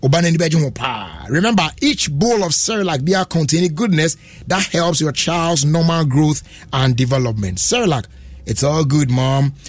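A man's fairly high, lively voice at a fairly slow pace, with very even loudness. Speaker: radio host. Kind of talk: live radio show hosting with ads and interviews. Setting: studio.

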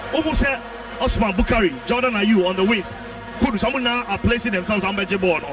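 Noticeable background noise sits behind a man talking at a very fast pace. His pitch is high, with ordinary variation. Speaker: football analyst. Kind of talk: live match analysis.

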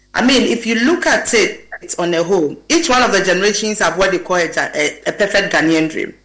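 Over noticeable background noise, a woman talks at a fairly quick pace with hardly any pauses, her fairly high voice swinging very widely in pitch. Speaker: gender and labor specialist. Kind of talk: panel discussion.

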